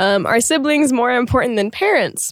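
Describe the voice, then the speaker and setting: A woman's fairly high voice, fairly quick, with very wide pitch swings and a dry, close sound with no echo. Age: 20s. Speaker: podcast co-host. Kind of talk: casual chat.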